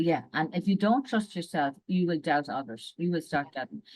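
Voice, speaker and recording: A woman talks in an Irish accent. Her pace is fairly quick. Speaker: executive and leadership coach. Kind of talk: casual interview.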